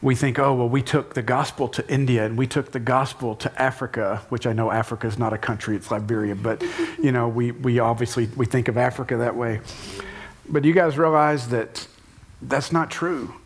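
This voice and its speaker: Over noticeable background noise, a man speaks at a fairly quick pace in an American accent. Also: medium pitch for a man. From United States. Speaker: church leader leading panel. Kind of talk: panel discussion in church. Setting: stage with live audience. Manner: animated.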